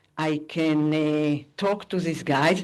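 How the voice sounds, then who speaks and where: The speaker has a non-native accent and talks at a very slow pace. The background is quiet. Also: woman. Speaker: AI professor. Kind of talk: conference talk. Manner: halting.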